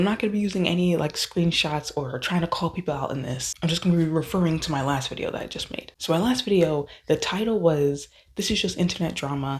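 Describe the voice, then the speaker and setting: A woman's somewhat breathy, fairly low-pitched voice at a very fast pace. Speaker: YouTube commentary creator. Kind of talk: casual rant to camera. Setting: indoor room, early morning.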